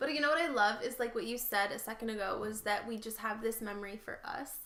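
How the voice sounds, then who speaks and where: This woman speaks at a very fast pace. Her pitch is fairly high. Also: ordinary pitch variation. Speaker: podcast co-host and youtuber. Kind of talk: casual chat. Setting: living room floor.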